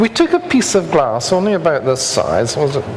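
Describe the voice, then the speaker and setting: With a Scottish accent, a man speaks over noticeable background noise. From Scotland. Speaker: structural engineer. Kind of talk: lecture.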